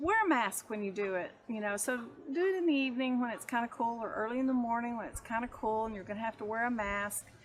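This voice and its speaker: A woman with a Texas accent, fairly high in pitch and fairly quick in pace. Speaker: homesteader. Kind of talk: tutorial. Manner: hesitant, many fillers.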